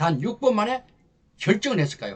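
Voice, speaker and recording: A man is speaking. His pitch swings very widely. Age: 60s. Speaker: lecturer for army officers. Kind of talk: promotional lecture. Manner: animated.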